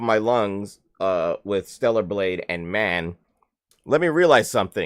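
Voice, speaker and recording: A man speaks loudly, with an animated tone and a fairly slow pace. His pitch swings very widely. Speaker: gaming streamer. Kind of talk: live stream chat.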